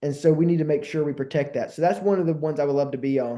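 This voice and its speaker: With a Southern US accent, a man speaks at a fairly high pitch in a dark, mellow tone. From Alabama, Montgomery. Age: 20s. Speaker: congressional candidate. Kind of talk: interview. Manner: fast; energetic.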